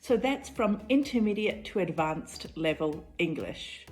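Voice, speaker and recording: With music in the background, a woman with a New Zealand accent speaks very slowly at a fairly high pitch, her pitch swinging very widely. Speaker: English teacher. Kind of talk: tutorial. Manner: clear, measured teaching pace.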